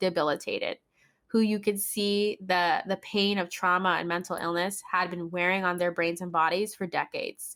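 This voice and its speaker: A plain, everyday voice talks at a moderate pace with fairly even intonation on a very clean recording with a silent background. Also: woman. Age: 20s. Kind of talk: podcast conversation.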